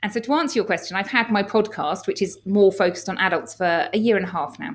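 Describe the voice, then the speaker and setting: A woman with an English accent, medium in pitch, lively in intonation and very fast in pace. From England. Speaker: doctor and health coach. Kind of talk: podcast interview.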